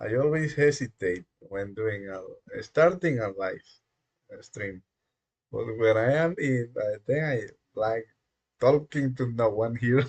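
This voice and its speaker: A somewhat breathy voice in a Spanish accent, at a very slow pace with long, frequent pauses, big swings in loudness and ordinary pitch variation. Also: man, medium pitch for a man. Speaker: live-coding streamer. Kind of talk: live stream, casual monologue. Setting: dimly lit room. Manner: halting, many fillers.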